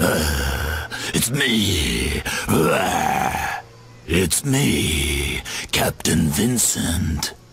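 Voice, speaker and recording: A man growls in a put-on character voice, his pitch very deep and low. He speaks at a very slow pace over clear background noise. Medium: machinima. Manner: calm, earnest.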